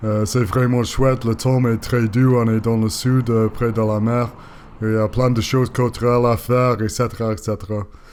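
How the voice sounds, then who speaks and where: A man with a non-native accent speaks at a moderate pace in a medium pitch. His intonation is monotone and flat, and his loudness stays very even. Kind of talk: voice-over narration of bike ride video. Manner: hesitant, many filler sounds.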